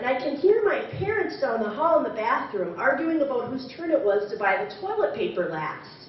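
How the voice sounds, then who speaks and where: Over noticeable background noise, a woman with an American accent talks with very wide pitch swings. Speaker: storyteller. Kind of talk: live story slam performance.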